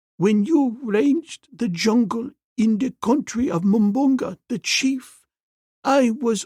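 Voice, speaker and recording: A man's put-on character voice, shaky and extremely high in pitch, at a fairly slow pace. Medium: read story.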